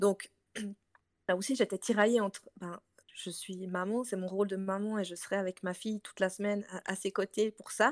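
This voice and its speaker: Dry and close with no echo, a woman's medium-pitched voice keeps a monotone, flat intonation at a moderate pace. Her loudness swings widely. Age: 30s. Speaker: entrepreneur. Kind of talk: casual chat.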